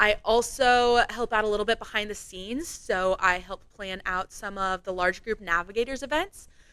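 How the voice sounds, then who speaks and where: Loud and animated, a woman speaks with a bright, sharp tone on a very clean recording with a silent background. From Iowa, US Midwest. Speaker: campus ministry staff member. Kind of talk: podcast interview.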